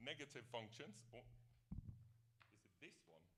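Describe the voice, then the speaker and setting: A loud man's voice at medium pitch, bright and sharp in tone, at a moderate pace, with audible room echo. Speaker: professor. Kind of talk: lecture.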